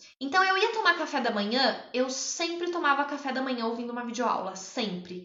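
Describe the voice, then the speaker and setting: A woman talks with a high pitch and lively intonation, and audible room echo surrounds her voice. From interior of São Paulo state, Brazil (São João da Boa Vista). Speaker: public attorney and exam-prep mentor. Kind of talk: livestream talk about own study experience. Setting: live stream.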